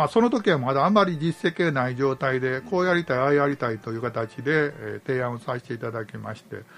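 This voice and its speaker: With an unremarkable speaking voice, a man talks at a fairly quick pace and a medium pitch, his intonation lively, his loudness swinging widely, and hardly any pauses. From Japan, Nantan, Kyoto Prefecture. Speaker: community organizer. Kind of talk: radio interview.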